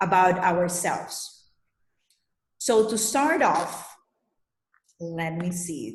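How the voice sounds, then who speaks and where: A woman speaking very slowly with an Spanish accent, somewhat breathy, amid audible room echo. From Colombia. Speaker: leadership coach. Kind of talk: presentation. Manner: hesitant, many fillers.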